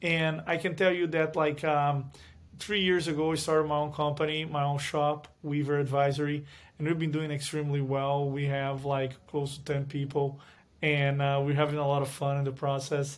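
At a moderate pace, a man with a fairly high voice and a Portuguese accent speaks in a flat monotone. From Brazil. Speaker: finance executive. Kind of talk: interview. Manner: hesitant, with fillers.

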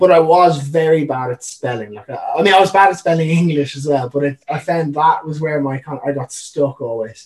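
With a Dublin accent, a man speaks at a fairly high pitch and a moderate pace. He hardly pauses, and his pitch varies in an ordinary way. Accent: Irish (Dublin). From Ireland (Dublin). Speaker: professional wakeboarder. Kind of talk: casual chat.

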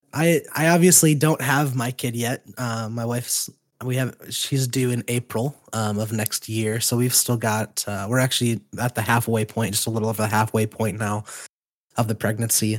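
A man with an unremarkable speaking voice, medium pitch, moderate pace and fairly even intonation, in a dry, close sound with no echo. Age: 20s. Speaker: podcast host. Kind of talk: casual chat.

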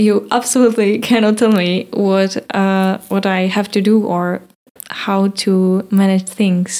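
Very slowly and in a monotone, flat delivery, a woman with a Czech accent speaks at a medium pitch in a dark, mellow tone. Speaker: podcast host. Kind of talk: casual interview in English. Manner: halting, searching for words.

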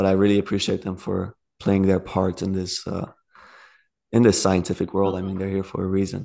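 The tone is dark and mellow, with ordinary pitch variation at a moderate pace. The background is quiet. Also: man. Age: 20s. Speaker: Egyptology student. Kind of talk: casual chat.

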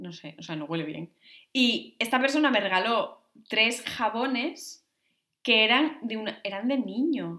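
This woman has a bright, sharp tone and a fairly high pitch that moves in very wide swings. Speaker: podcast co-host. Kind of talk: casual chat.

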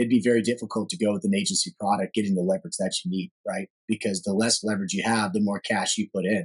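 This man has an unremarkable speaking voice with an American accent, a medium pitch and ordinary pitch variation. The sound is dry and close, with no echo. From Texas, Dallas area. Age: 30s. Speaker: commercial real estate financier. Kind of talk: podcast interview.

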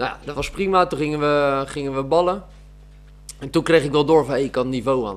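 An ordinary speaking voice from a man, fairly quick, with ordinary pitch variation. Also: fairly high pitch for a man. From Netherlands, South Holland (Oegstgeest area). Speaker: amateur footballer and gym teacher. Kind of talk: casual interview.

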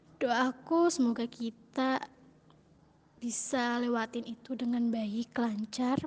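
Against noticeable background noise, a woman with a high, shrill voice speaks at a very slow pace. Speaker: university student. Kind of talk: recorded birthday message. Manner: stumbling.

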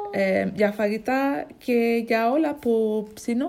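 A woman with an English accent speaks in a fairly high voice over noticeable background noise. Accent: English accent in Greek. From England, Ipswich. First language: English (speaking Greek). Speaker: language learner. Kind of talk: casual chat. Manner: halting.

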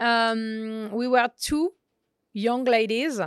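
Fairly high-pitched woman's voice in a dry, close sound with no echo, on a very clean recording with a silent background. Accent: French. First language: French. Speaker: chef. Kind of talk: interview. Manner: halting.

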